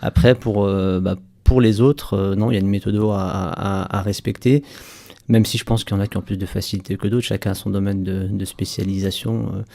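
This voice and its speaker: The recording is very clean with a silent background, carrying a man's fairly low, dark, mellow voice with fairly even intonation. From France, Saint-Étienne. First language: Berber (speaking French). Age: 30s. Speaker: entrepreneur. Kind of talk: radio interview. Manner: hesitant, many repeated words.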